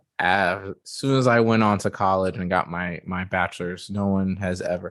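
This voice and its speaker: A man with an American accent and an ordinary speaking voice, fairly slow, with ordinary pitch variation, on a very clean recording with a silent background. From United States. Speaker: software developer. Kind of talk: interview answer. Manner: casual, candid.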